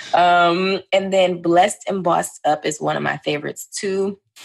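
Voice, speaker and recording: A woman's voice with vocal fry. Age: 20s. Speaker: YouTuber and entrepreneur. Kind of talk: casual chat.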